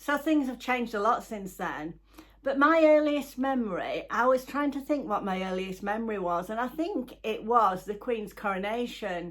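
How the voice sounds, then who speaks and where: A woman's fairly high voice with a Yorkshire accent, lively intonation and a moderate pace. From northern England, Halifax, West Yorkshire. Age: 70s. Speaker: YouTuber. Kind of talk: casual chat. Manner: halting.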